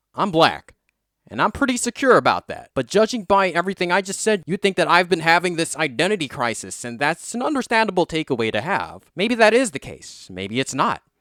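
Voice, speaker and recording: A man speaks with an American accent at a fairly quick pace, his high pitch making very wide swings. The tone is bright and sharp, the sound dry and close with no echo, and the recording very clean against a silent background. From South Africa. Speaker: YouTuber. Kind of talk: vlog monologue. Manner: casual.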